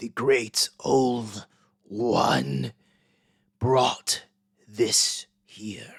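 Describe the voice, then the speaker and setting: Using a put-on character voice, a man sounds raspy at a medium pitch. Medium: actual play. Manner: menacing, speaks collectively as "we".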